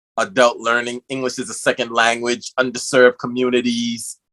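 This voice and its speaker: At a moderate pace, a man with a New York accent speaks at a medium pitch with monotone, flat intonation, a bright, sharp tone and a dry, close sound with no echo. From New York City, the Bronx. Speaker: podcast host. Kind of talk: interview.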